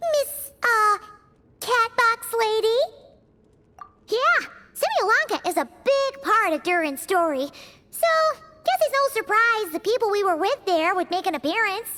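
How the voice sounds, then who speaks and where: A put-on character voice at an extremely high pitch comes with long, frequent pauses. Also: moderate pace. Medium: video game.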